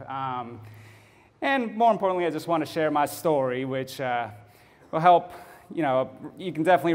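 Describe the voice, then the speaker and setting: A man with a slight Texas accent, at a moderate pace and with lively intonation. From Texas (Fort Bend County, near Houston). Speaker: photographer, public speaker. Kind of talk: speech to a club audience. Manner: many filler words, halting.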